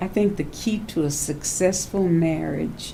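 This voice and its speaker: A woman with a Louisiana accent at a very slow pace, with ordinary pitch variation, audible room echo and noticeable background noise. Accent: Southern US (Louisiana). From US South, Louisiana bayou. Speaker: elder sharing life memories. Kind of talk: oral history interview.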